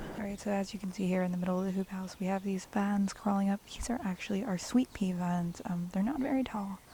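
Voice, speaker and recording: Here a woman speaks at medium pitch and a fairly quick pace. She has a plain, everyday voice. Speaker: cut flower gardener. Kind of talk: casual garden tour talk to camera. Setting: outdoors.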